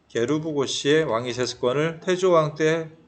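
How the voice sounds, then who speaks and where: Audible room echo around a man speaking with ordinary pitch variation. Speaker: history teacher. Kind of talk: lecture. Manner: fast; casual, conversational.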